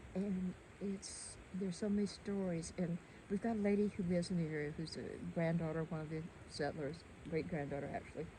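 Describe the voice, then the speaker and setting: A woman with an unremarkable speaking voice, fairly low in pitch, talks at a fairly quick pace with fairly even intonation. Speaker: local resident. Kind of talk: casual chat.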